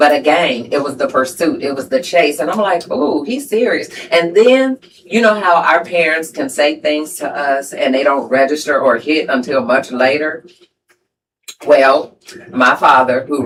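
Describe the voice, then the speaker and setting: The speaker's intonation is lively, and the pace is moderate. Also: woman. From US Midwest, Chicago area. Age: 50s. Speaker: podcast host. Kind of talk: casual chat. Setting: live stream with spouse.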